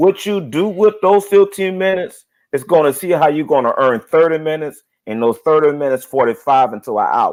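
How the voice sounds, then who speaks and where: A man with an ordinary speaking voice talks at a fairly quick pace, fairly high in pitch and with lively intonation. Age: 30s. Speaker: single man on dating live show, preacher. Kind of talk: casual chat.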